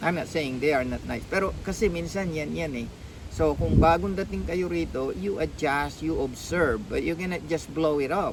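A man talks at a moderate pace. Both room echo and background noise can be heard. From Philippines. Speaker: nurse vlogger. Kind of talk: casual vlog monologue. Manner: halting, many fillers.

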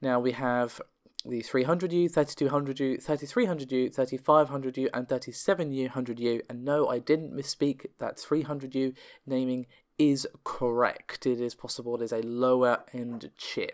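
This man talks at a moderate pace, his pitch sitting in the medium range. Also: fairly even intonation.

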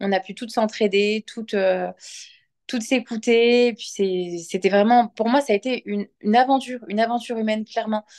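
Spoken at a moderate pace with fairly even intonation, the voice sits over a quiet background. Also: woman. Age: 30s. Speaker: client giving a testimonial. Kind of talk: testimony. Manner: halting, many hesitations. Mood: sincere, reflective. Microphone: phone near.

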